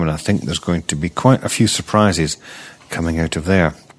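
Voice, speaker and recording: In a Scottish accent, a man with a very deep, low pitch talks with fairly even intonation. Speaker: archaeology news podcast host. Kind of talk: news reading.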